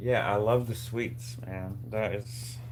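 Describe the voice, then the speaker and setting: A man mumbles quietly at a medium pitch in a monotone, flat intonation, with audible room echo. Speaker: DIY maker livestreamer. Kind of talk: casual live stream chat while working. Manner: mumbling.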